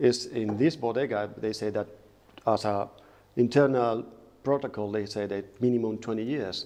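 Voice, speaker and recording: A man's medium-pitched voice in a Spanish accent, dark and mellow in tone, with fairly even intonation, a moderate pace and long, frequent pauses. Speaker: lawyer. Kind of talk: casual chat. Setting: winery.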